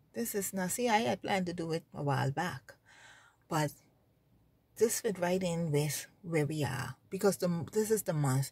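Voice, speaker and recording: A woman with a fairly low pitch sounds somewhat breathy and shows ordinary pitch variation. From Bahamas. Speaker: religious vlogger. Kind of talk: informal religious exhortation. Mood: earnest, emphatic, sometimes sad. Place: car. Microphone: phone near.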